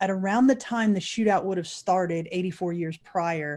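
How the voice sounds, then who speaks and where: A woman talks fairly quickly in a fairly low voice with a dark, mellow tone. The recording is very clean, with a silent background. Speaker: paranormal investigator. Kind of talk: interview answer, storytelling.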